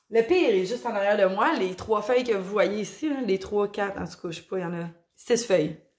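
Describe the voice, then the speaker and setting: A woman with a Quebec accent speaks at a medium pitch and a fairly quick pace, with ordinary pitch variation. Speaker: plant YouTuber. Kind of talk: casual video vlog. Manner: hesitant, many fillers.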